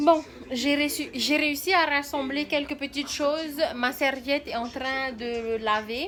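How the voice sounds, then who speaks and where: Over noticeable background noise, a woman with a high pitch talks at a very slow pace, her intonation fairly even. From Tahiti, French Polynesia. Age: 20s. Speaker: mother and vlogger. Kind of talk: casual vlog talk to camera.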